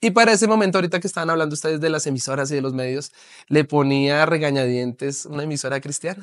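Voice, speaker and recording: Racing along at a very fast pace, a man with a fairly high pitch shows ordinary pitch variation. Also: quiet background. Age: 30s. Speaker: pastor and author; pastor. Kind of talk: interview testimony. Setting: TV studio. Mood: earnest personal testimony. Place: studio.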